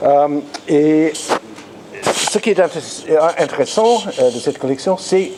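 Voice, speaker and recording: This man has an English accent and a fairly high pitch with ordinary variation. He talks very slowly with long, frequent pauses over noticeable background noise. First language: English (speaking French). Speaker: art historian, lecturer. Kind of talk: lecture. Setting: conference room with audience. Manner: halting, frequent repetitions.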